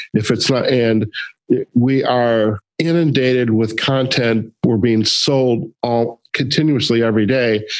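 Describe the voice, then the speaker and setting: A man with a Midwestern accent, fairly even intonation and a fairly slow pace. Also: medium pitch for a man. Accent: Midwest US. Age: 50s. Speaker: podcast host. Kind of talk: interview conversation.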